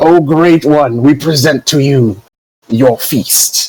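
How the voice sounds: A man puts on a character voice, pitched fairly high. He speaks at a very slow pace.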